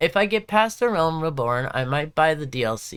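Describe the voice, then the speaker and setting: An American accent at a moderate pace on a very clean recording with a silent background. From Southern California. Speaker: gaming livestreamer. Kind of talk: casual livestream chat. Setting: live stream. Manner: casual, filler-heavy.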